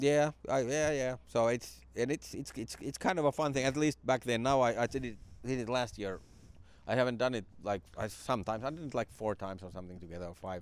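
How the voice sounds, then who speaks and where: Speaking with a Finnish accent, a man uses a medium pitch with ordinary pitch variation. His pace is fairly quick. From Finland (Jyväskylä). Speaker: stand-up comedian. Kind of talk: casual interview chat. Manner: halting.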